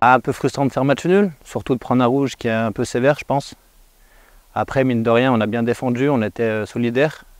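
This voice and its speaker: Dry and close with no echo, a man's voice comes at medium pitch and a fairly quick pace with fairly even intonation. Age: 20s. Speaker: professional footballer. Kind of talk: post-match interview. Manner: hesitant, many fillers.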